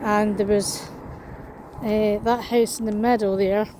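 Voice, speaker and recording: A woman with a Scottish accent speaks in a fairly high, monotone, flat voice at a fairly slow pace. Background noise is noticeable. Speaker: vlogger. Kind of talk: walking vlog.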